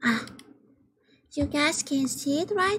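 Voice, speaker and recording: A woman with a Vietnamese accent speaks with very wide pitch swings. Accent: Vietnamese accent, self-described as weird. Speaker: vtuber streamer. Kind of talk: game livestream chat. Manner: hesitant, halting.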